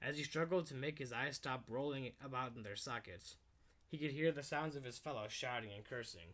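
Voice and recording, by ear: The voice is reading aloud in a natural way. Its pitch varies in an ordinary manner.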